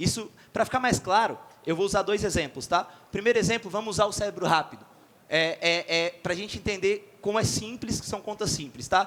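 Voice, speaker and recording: Here a man talks in a high voice with an animated tone. His pace is fairly quick. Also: ordinary pitch variation. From Florianópolis, Brazil. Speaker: sales company CEO, conference speaker. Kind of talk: conference talk. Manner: fast.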